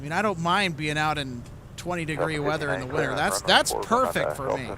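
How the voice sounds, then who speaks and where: Audible room echo surrounds a man with an Upper Midwest accent who talks fairly quickly in a fairly high pitch with lively intonation. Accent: Upper Midwest (Minnesota). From Minnesota. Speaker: plane spotting live streamer. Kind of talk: live commentary. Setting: outdoors at airport viewing area.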